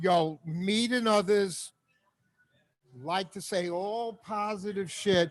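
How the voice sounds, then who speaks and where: Very slowly, a man speaks in a high pitch with fairly even intonation. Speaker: comedian. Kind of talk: casual chat. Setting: live stream from a bar. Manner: loud.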